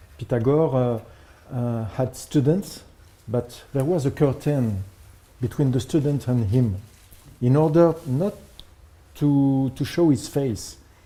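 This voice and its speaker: A very slow-paced man with a French accent, medium in pitch, ordinary pitch variation, long and frequent pauses throughout. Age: 50s. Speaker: composer. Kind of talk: presentation. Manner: halting.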